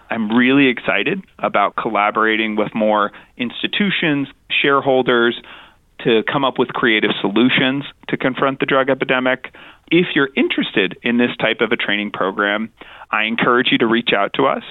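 A man with an American accent and an unremarkable speaking voice talks at a moderate pace and medium pitch, his loudness very even and his pitch variation ordinary. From New Mexico, US. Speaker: addiction medicine physician. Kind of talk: interview.

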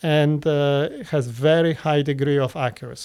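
A man with a Polish accent speaks at a fairly high pitch with fairly even intonation. The recording is very clean, with a silent background. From Poland. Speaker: interventional cardiologist. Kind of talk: interview. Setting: studio.

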